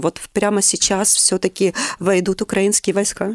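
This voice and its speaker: A woman with a normal speaking voice talks at a moderate pace and medium pitch. The sound is dry and close with no echo, against a quiet background. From Luhansk, eastern Ukraine. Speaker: psychologist and human rights worker. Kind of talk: personal testimony interview.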